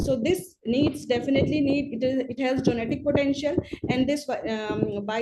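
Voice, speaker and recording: A woman talks in a high pitch. Noticeable background noise runs under her voice. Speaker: public health expert. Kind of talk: webinar presentation. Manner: halting, many fillers; fast.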